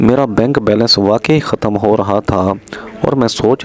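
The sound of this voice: A man speaks at a fairly slow pace and fairly low pitch, slightly mellow in tone, with ordinary pitch variation.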